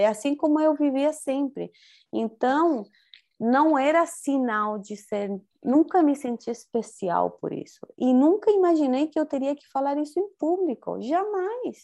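High-pitched female speech in a Spanish accent, dark and mellow, fairly slow, with big swings in loudness against a quiet background. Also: lively intonation. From Chile. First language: Spanish (speaking Portuguese). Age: 40s. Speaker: spiritual teacher. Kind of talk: interview.

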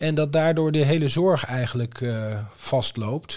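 With a plain, everyday voice, a man speaks at a moderate pace in a fairly high pitch and ordinary pitch variation. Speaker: podcast co-host. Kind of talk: casual chat.

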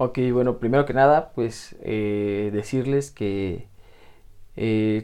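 With a dark, mellow tone, this man's voice shows ordinary pitch variation. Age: 20s. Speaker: youth life-planning coordinator, former psychology student. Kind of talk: radio interview.

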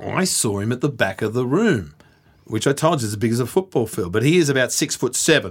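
Talking at a fairly quick pace in an Australian accent, a man with a medium pitch makes very wide pitch swings. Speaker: boxing podcast host. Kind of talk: casual chat. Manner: animated.

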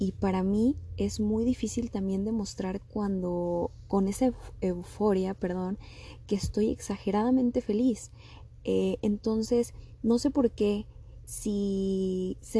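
A woman talks at a very slow pace with fairly even intonation. Her tone is dark, mellow and somewhat breathy. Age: 20s. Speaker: podcast host. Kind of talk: personal monologue.

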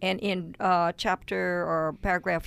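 A woman at a medium pitch on a very clean recording with a silent background. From Louisiana (Cajun). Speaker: podcast co-host. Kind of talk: casual chat.

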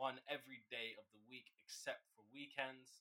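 Bright and sharp in tone, a man's fairly high voice moves at a moderate pace. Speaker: podcast host. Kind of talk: casual chat. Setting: video call.

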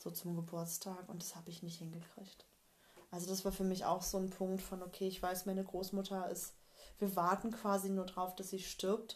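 A monotone voice with flat intonation, a moderate pace and a somewhat breathy quality. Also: woman, medium pitch for a woman. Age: 30s. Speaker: colour and style consultant. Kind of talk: interview about personal grief experiences. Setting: in person at her home.

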